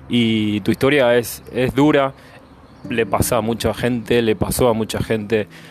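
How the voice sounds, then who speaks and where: Music plays in the background. The speech moves at a fairly slow pace with ordinary pitch variation. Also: man. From Argentina. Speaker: podcast host. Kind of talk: interview. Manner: halting, many fillers.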